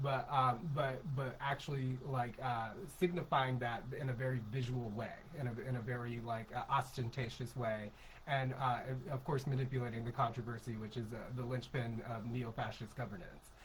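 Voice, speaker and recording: A man's medium-pitched voice with fairly even intonation, over noticeable background noise. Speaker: podcast co-host. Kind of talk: casual political discussion. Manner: fast; halting, many fillers.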